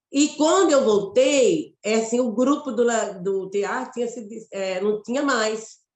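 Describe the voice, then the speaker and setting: In a Mato Grosso accent, a woman speaks at a very slow pace with lively intonation. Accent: Mato Grosso Brazilian. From Brazil, Mato Grosso. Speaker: theatre actress and director. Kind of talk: interview conversation.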